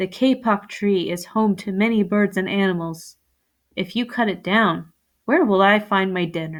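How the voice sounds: Here is a natural reading voice. The background is quiet.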